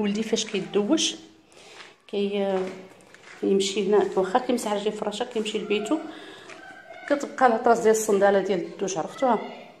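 Fairly quick delivery broken by long, frequent pauses, with ordinary pitch variation over light background noise. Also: woman, fairly high pitch for a woman. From Morocco. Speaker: home vlogger. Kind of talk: vlog narration. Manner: halting. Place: home room. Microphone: phone near.

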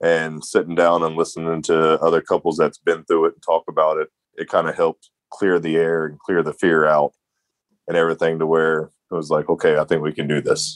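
The delivery moves fairly quickly. The voice sounds dry and close, with no echo. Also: man. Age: 30s. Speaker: patient sharing his story, former construction worker. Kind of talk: interview testimony.

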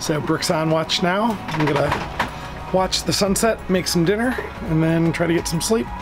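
A man at a moderate pace, with ordinary pitch variation and clear music in the background. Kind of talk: casual vlog chat. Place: boat. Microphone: phone near.

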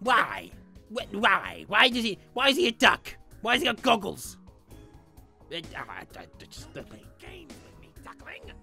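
In a put-on character voice with fairly high pitch, the speaker goes at a fairly slow pace over faint music in the background. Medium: role play. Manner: grumpy, sarcastic.

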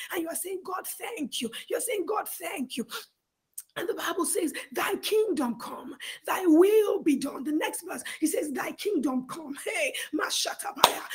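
A woman's extremely high-pitched voice with very wide pitch swings, at a fairly slow pace. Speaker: prayer teacher leading online prayer. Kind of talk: fervent prayer and Bible teaching, alternating between instruction and praying aloud. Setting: online video/call with audience. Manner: earnest, pleading, emphatic with repetition; teacherly, explanatory.

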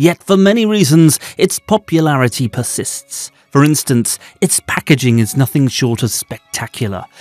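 A man with a British accent speaks with hardly any pauses and very wide pitch swings, in a dry, close sound with no echo. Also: fairly high pitch for a man, moderate pace. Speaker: fragrance and beauty product YouTuber. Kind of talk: documentary-style list narration.

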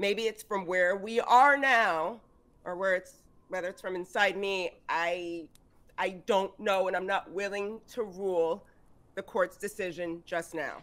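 Keeping a fairly even intonation, a woman speaks at a fairly slow pace. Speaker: tabletop game player. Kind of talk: tabletop role-play in character. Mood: soft, reflective. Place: home room. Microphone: video call.

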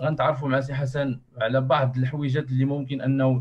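The voice is somewhat breathy at a moderate pace. The background is quiet. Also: man. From Morocco. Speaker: association workshop moderator. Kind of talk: online workshop moderation. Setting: video call. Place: home room. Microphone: earbuds.

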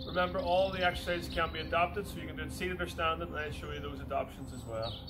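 Clear music sits in the background while a man speaks at a very fast pace. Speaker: exercise instructor. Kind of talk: tutorial. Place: garden.

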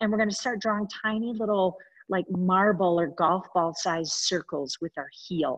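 The sound is dry and close with no echo as a woman, in an unremarkable speaking voice, talks at a moderate pace with medium pitch and ordinary pitch variation. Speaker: fitness instructor. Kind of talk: guided workout class. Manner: encouraging.

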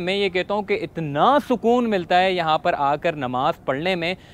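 A high-pitched male voice with ordinary pitch variation. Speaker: travel vlogger. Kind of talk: guided video tour. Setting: inside a mosque.

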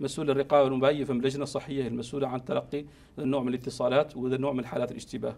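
A man at a very fast pace with hardly any pauses and monotone, flat intonation. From Mauritania. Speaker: physician, district chief medical officer; guest. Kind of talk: TV interview. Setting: TV studio. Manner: halting, with repetitions. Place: studio.

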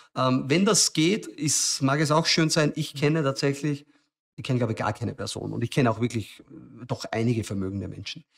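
A man speaks at a fairly quick pace with ordinary pitch variation, and the background is quiet. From Lower Austria, rural farm. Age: 40s. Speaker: tech startup founder; podcast guest. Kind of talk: interview conversation. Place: studio. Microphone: studio mic.

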